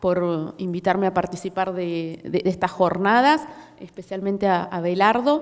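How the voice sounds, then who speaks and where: In a Córdoba accent, a woman speaks at a moderate pace with a medium pitch. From Córdoba, Argentina. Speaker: policy researcher. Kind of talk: conference talk. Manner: hesitant, many fillers.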